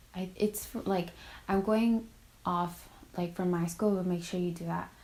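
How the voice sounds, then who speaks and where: This woman's voice is fairly low in pitch. It is somewhat breathy. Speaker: college student vlogger. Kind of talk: casual advice vlog. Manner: filler-heavy casual.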